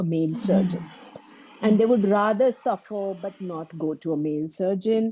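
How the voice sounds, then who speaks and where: In a Kannada accent, a woman talks at a moderate pace and medium pitch, with a dry, close sound with no echo. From India, Mumbai. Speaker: breast surgeon. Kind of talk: interview testimony.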